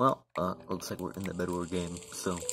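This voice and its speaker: Faint background noise sits under speech that goes at a moderate speed. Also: man. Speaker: gamer filming his own play. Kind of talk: casual gaming commentary. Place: home room. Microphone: phone near.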